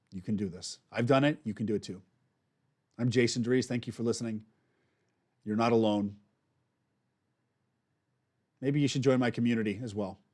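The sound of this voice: At a moderate pace, a man with a medium pitch and a slightly mellow tone speaks with ordinary pitch variation and long, frequent pauses.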